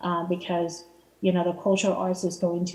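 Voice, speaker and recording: A woman's fairly low, monotone voice with flat intonation at a fairly quick pace, over noticeable background noise. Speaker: city arts commissioner. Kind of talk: public meeting report. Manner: fast; halting, many fillers.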